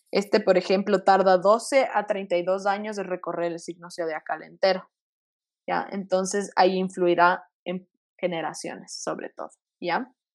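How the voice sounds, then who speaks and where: A woman's normal speaking voice at medium pitch, fairly slow and fairly even in intonation, with big swings in loudness. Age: 20s. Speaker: medical student and astrology enthusiast. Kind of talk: casual explanatory chat. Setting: video call.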